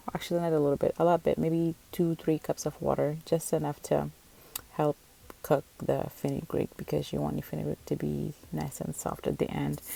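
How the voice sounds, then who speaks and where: A woman with a non-native accent at a moderate pace, dry and close with no echo. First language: not English. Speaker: cooking vlogger. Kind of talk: cooking tutorial. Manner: casual, self-correcting.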